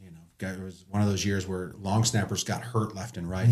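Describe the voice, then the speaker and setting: A man talks at a very fast pace, somewhat breathy, with ordinary pitch variation. The recording is very clean with a silent background. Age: 40s. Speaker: former pro football player. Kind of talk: casual chat. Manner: animated.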